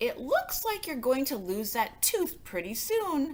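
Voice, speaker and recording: Using a put-on character voice, a woman speaks high and fairly slowly with very wide pitch swings over light background noise. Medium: read story.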